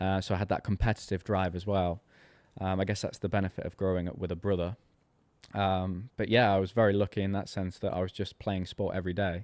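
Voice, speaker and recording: Very deep and low, a man's voice races at a very fast pace in a flat monotone, with a dry, close sound, no echo, and a very clean recording over silence. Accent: English. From rural England. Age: 30s. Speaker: golf coach. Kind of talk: casual interview chat.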